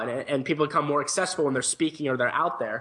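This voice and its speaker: A man talks with an American accent. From St. Louis, Missouri. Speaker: entrepreneur and author. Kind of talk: interview.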